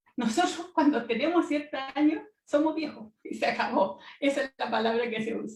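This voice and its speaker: The pace is moderate. There are hardly any pauses. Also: woman, high pitch for a woman, lively intonation. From Latin America. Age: 70s. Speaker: researcher, panelist. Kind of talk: panel talk. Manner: halting.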